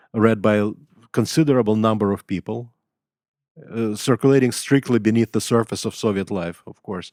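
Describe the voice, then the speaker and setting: A fairly low-pitched man with a Russian accent talks at a fairly quick pace, with long, frequent pauses and big swings in loudness, on a very clean, dry and close recording with a silent background and no echo. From Russia, Leningrad. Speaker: writer and professor. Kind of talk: interview. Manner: halting, many fillers.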